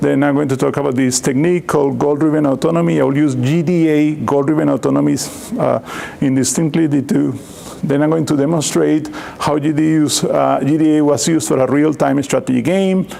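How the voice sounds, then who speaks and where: Noticeable background noise and audible room echo surround a man speaking at a fairly high pitch. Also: fairly quick pace, very even loudness. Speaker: computer science professor. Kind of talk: lecture. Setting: seminar talk with microphone. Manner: loud.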